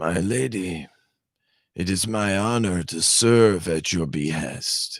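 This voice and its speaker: A man's put-on character voice, very deep and low in pitch, at a fairly slow pace, in a very clean recording with a silent background. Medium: read story. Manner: smooth, courteous.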